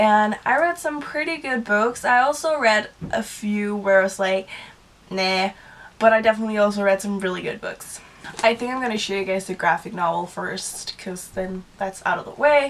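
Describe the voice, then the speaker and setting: The speaker has a Danish accent and lively intonation. The pace is moderate. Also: woman, fairly high pitch for a woman. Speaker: book vlogger. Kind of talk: casual monologue.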